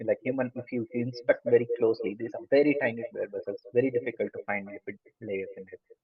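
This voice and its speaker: A man is speaking. He has a strong Indian accent. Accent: thick Indian. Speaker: lecturer. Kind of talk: lecture. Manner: fast.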